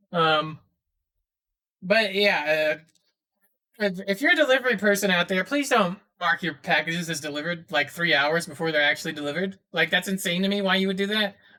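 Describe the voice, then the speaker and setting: The speech moves at a fairly quick pace, broken by long, frequent pauses. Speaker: podcast host. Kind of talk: casual chat. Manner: fast.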